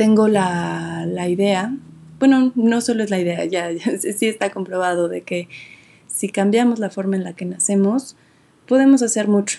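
A woman's medium-pitched voice, dark and mellow in tone, at a fairly slow pace with fairly even intonation. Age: 20s. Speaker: podcast host. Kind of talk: casual monologue. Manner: halting.

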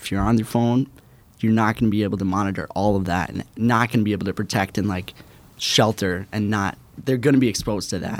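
This man talks at a fairly quick pace with an American accent and a fairly low pitch. He has a normal speaking voice, and his intonation stays fairly even. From Minnesota, US. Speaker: intern. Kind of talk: interview.

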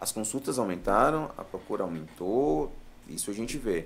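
Speaking at a moderate pace with ordinary pitch variation, a man with a fairly low pitch has an unremarkable speaking voice. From Brazil, Piauí (Floriano). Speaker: urologist. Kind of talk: live podcast interview. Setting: studio.

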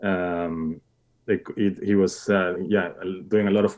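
The speaker is male. His accent is Spanish. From Mexico. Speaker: cinematographer. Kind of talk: interview. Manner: halting.

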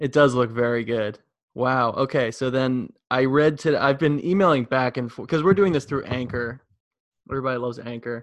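Fairly quick speech from a man with an American accent, an unremarkable speaking voice, medium pitch and ordinary pitch variation. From New York. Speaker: podcast host. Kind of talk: casual chat.

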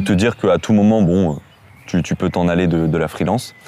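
With ordinary pitch variation, a man talks in a very deep, low pitch and a dark, mellow tone. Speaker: YouTube interviewer. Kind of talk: casual interview.

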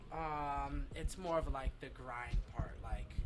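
A man with an American accent, in a room with audible echo. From Eastern Pennsylvania, US. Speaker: rapper and singer. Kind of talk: casual interview chat.

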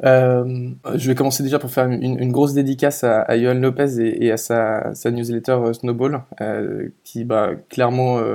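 A man's dark, mellow voice at a medium pitch, fairly slow and monotone with flat intonation. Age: 20s. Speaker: product designer. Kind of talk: casual interview chat. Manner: halting, many fillers and repetitions.

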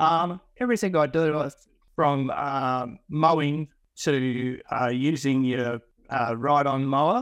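A very slow delivery in a rural Australian accent, with ordinary pitch variation. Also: man, fairly high pitch for a man. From Western Australia, rural wheatbelt. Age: 50s. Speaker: franchise gardener, former farmer. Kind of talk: interview. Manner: halting.

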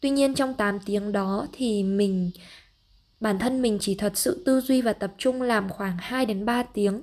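A woman with a plain, everyday voice speaks at a fairly slow pace, her fairly high pitch showing ordinary pitch variation. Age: 20s. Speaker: travel podcaster and freelance marketer. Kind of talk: solo podcast monologue.

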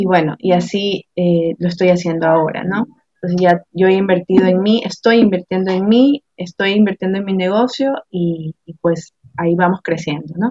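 She speaks with a coastal Ecuadorian accent at a moderate pace. This woman's pitch is medium, with ordinary pitch variation. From Ecuador, Guayaquil. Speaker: administrative assistant and entrepreneur. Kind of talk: interview. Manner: halting, many repetitions.

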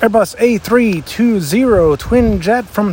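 A man with an American accent, against noticeable background noise. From southwest Pennsylvania. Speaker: podcast host, plane spotter. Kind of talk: casual outdoor commentary. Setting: outdoors, walking on a sidewalk.

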